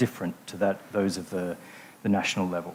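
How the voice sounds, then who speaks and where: A man speaks with an Australian accent. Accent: non-South African accent, Australian. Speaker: infrastructure finance consultant. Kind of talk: conference panel talk.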